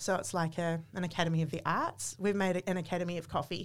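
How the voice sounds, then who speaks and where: Against a silent background on a very clean recording, a woman speaks at a fairly quick pace with a New Zealand accent. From New Zealand, small town. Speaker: coffee company marketing manager. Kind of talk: interview.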